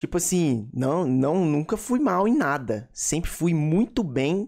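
A man talks in a high voice. The background is quiet. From Brazil. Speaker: gaming YouTuber. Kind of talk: casual vlog talk to viewers. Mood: relaxed, reflective. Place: home room. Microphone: studio mic.

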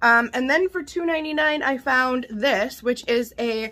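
Projecting a raised voice, a woman speaks very slowly at a high pitch, her tone bright and sharp with ordinary pitch variation. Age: 40s. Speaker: vlogger, mother; vlogger. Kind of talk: casual vlog, haul show-and-tell. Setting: home kitchen. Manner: animated. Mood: cheerful, chatty. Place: kitchen. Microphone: phone near.

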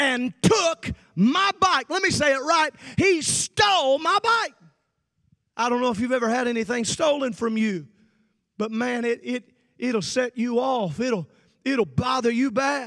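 With an American accent, a man with an extremely high pitch speaks fairly slowly in a raised, projected voice, his bright, sharp, animated tone carrying lively intonation between long, frequent pauses over a quiet background. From central Illinois. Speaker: preacher. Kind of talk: sermon. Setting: livestreamed youth camp service. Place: stage. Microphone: handheld.

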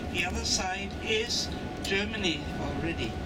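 The speech moves at a fairly slow pace. Loud background noise runs underneath. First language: German. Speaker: tour guide. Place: bus.

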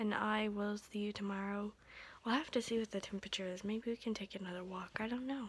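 Somewhat breathy delivery at a very fast pace, with fairly even intonation. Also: woman. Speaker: vlogger. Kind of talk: casual vlog chat. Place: home room. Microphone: phone near.

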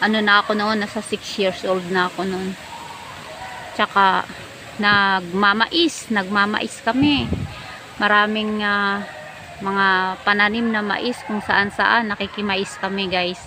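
A woman speaks at a very slow pace with long, frequent pauses. Her pitch is medium, her intonation fairly even, and there is noticeable background noise. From Philippines, Manila (moved from Negros Oriental at 5). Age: old. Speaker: vlogger. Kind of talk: casual storytelling monologue. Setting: outdoors sitting among trees. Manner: chatty with frequent laughs.

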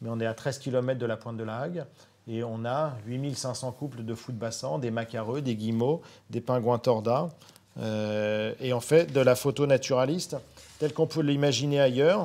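A fairly slow pace and a dark, mellow tone, with ordinary pitch variation. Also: man, medium pitch for a man. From Normandy, Cotentin; Normandy. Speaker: nature photographer; guest. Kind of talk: live online talk. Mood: enthusiastic, animated storytelling. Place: studio. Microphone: lapel.

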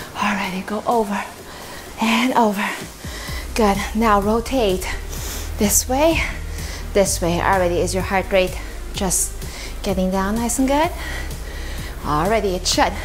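Speaking at a fairly slow pace with long, frequent pauses, a woman uses ordinary pitch variation while faint music plays in the background. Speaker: fitness instructor. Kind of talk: workout instruction. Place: empty room.

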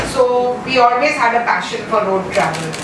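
A woman speaks at a moderate pace. Audible room echo and noticeable background noise surround her voice. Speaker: conference presenter. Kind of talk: conference talk, personal storytelling. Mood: warm, cheerful. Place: hall.

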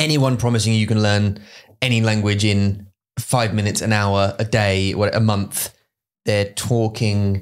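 A man's fairly low voice in a flat monotone, with very even loudness. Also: fairly slow pace. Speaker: podcast co-host. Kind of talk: casual podcast conversation. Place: studio. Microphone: studio mic.

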